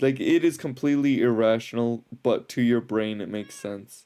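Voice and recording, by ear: A man talks at a moderate pace with a medium pitch and ordinary pitch variation. His tone is clear, smooth, dark and mellow.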